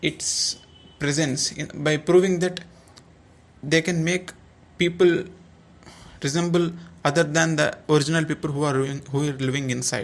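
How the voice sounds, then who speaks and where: Moderate-paced speech in a non-native accent. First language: not English. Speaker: YouTuber giving opinion. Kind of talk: commentary video monologue. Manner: halting.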